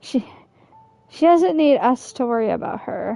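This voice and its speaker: The speaking pace is fairly slow. Behind it, music can be heard. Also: woman. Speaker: gaming streamer. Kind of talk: casual gameplay commentary.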